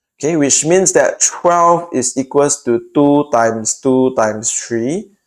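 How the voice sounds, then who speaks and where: A man speaks with a Singaporean accent. His pace is very slow and his pitch variation ordinary. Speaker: math tutor. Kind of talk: tutorial.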